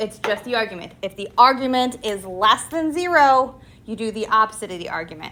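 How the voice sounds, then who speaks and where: The delivery is animated in tone, with lively intonation. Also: woman. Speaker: high school math teacher. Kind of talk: classroom lecture.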